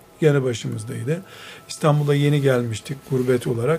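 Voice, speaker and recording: Man's medium-pitched voice over noticeable background noise. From Istanbul, Türkiye. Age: 50s. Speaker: Islamic scholar and author. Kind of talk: radio interview. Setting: his library.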